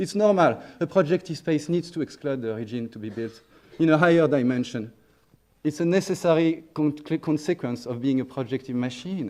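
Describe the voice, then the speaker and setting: Speaking fairly quickly with a strong French accent, a fairly high-pitched man uses ordinary pitch variation. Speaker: neuroscience researcher. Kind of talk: conference talk. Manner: hesitant with fillers and restarts.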